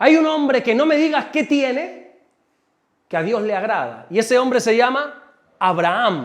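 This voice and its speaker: At a moderate pace, a man speaks in an animated tone with an extremely high pitch. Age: 40s. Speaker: pastor. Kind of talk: sermon.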